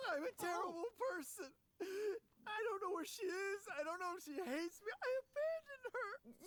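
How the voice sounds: Someone puts on a character voice at an extremely high pitch. The pace is moderate.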